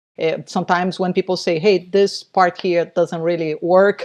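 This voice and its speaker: The speaker has a non-native accent and a moderate pace, with fairly even intonation. The sound is dry and close, with no echo. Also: woman. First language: not English. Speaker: novelist. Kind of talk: casual chat. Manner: halting.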